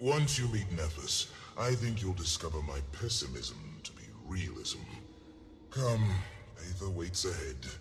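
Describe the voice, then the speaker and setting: Doing a put-on character voice, a man speaks at a very deep, low pitch with very wide pitch swings, big swings in loudness, long, frequent pauses and a moderate pace over clear background noise. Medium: video game. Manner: formal, measured.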